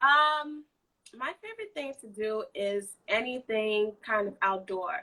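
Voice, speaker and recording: A woman with a bright, sharp tone speaks at a very slow pace. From Nigerian heritage. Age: 20s. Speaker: nanny. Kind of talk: live interview.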